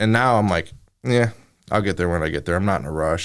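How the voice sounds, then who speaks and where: A man with an American accent and a fairly low pitch is heard in a very clean recording with a silent background. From northern Illinois, Chicago area. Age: young. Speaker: TV news reporter. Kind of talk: casual interview chat. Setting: studio. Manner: fast.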